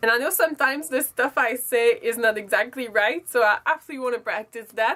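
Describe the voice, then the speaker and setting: Speaking at a very fast pace, a woman with a high pitch and a strong French accent has a bright, sharp tone and ordinary pitch variation. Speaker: beauty vlogger. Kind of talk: casual vlog monologue. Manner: halting, self-correcting.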